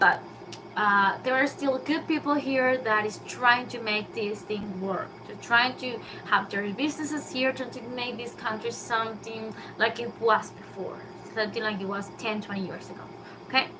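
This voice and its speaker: A Spanish accent with big swings in loudness and ordinary pitch variation, over noticeable background noise with audible room echo. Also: woman, fairly high pitch for a woman, moderate pace. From Venezuela. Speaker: YouTuber. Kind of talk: casual live stream monologue. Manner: halting, with many fillers.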